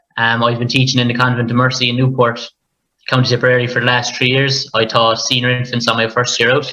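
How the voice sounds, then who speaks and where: A man with a Limerick accent talks at a very fast pace and medium pitch. His intonation is monotone and flat, his loudness very even. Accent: Irish, Limerick. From Ireland, near Limerick. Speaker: primary school teacher. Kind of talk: panel conversation.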